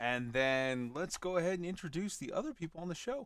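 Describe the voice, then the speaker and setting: A man speaks in an animated tone at a moderate pace, with very wide pitch swings. The sound is dry and close, with no echo. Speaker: podcast host. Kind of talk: casual chat.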